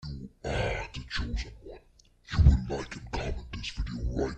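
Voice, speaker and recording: A put-on character voice with a menacing tone. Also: man, very deep, low pitch for a man, moderate pace. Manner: menacing, commanding.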